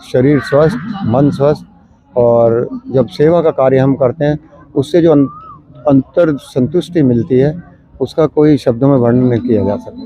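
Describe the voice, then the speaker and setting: Ordinary pitch variation comes through against noticeable background noise. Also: man, fairly high pitch for a man. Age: 70s. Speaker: yoga practitioner, local resident. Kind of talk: street interview. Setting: outdoors in a park.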